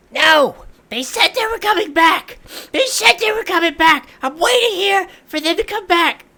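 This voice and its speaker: A put-on character voice shouts at an extremely high pitch and a moderate pace. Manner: screaming.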